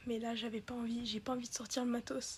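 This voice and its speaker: In a high pitch, a woman speaks with monotone, flat intonation. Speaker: YouTuber. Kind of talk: casual vlog. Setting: bedroom. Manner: halting.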